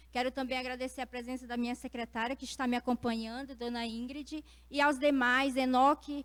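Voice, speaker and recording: A woman speaks in a high-pitched voice at a moderate pace. Her intonation is flat and monotone. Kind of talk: panel talk.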